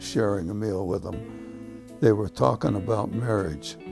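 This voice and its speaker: A man with a Midwestern American accent speaks at a fairly slow pace with lively intonation over music in the background. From Cleveland, Ohio. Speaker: retired teacher and school administrator. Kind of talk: oral history interview answer.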